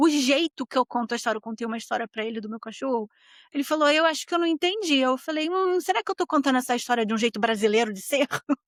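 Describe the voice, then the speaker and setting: At a very fast pace, a woman speaks high and with lively intonation, the sound dry and close with no echo. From Brazil. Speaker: podcast host. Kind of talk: casual monologue podcast. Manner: animated.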